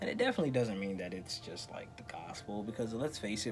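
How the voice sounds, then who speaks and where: Speech comes at a very fast pace, with music playing in the background. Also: man. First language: not English. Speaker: vlogger. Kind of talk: casual rant to camera. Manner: animated.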